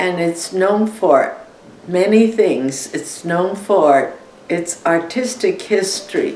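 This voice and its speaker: Amid noticeable background noise and audible room echo, a woman speaks at a very slow pace and medium pitch with ordinary pitch variation. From China. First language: Chinese. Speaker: war refugee. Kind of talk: interview.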